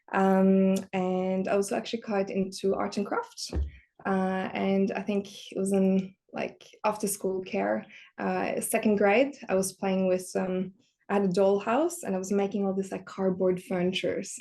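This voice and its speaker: With a Norwegian accent, a woman talks fairly slowly at a medium pitch in a dark, mellow tone and a monotone, flat intonation. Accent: Norwegian accent, noticeable. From Norway. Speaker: industrial design director. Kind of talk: podcast interview. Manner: hesitant, many fillers.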